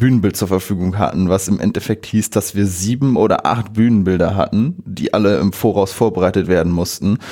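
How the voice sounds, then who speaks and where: A man's dark, mellow tone at a fairly low pitch and a moderate pace. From northern Germany, Friesland (Bockhorn). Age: 20s. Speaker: electronics apprentice, volunteer. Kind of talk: casual interview.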